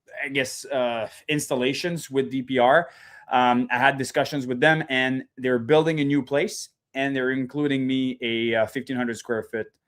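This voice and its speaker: A man with a French-Canadian accent, medium pitch, fairly even intonation and a moderate pace. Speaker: reptile breeder. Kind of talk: casual interview chat.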